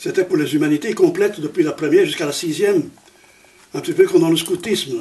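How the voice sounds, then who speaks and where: A man's pitch varies in an ordinary way. Behind him, background noise is noticeable. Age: 80s+. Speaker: Jesuit priest and former teacher. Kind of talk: interview. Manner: halting.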